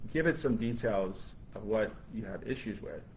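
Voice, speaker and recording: A man speaks with vocal fry. Audible room echo surrounds the voice. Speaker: brain injury survivor and AI advocate. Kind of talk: live panel discussion. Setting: live stream. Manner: halting, with frequent repetitions.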